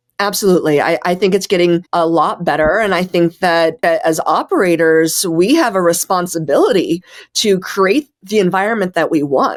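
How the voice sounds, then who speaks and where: A woman with an American accent talks in a normal speaking voice, pitched fairly low. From US, Denver, Colorado. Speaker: chef and restaurant owner. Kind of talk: interview.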